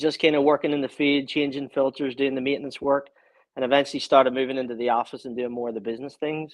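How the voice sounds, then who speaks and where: Speaking in a Northern Irish accent, a man at medium pitch keeps a monotone, flat intonation. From Northern Ireland, Belfast. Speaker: small business owner. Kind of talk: casual interview.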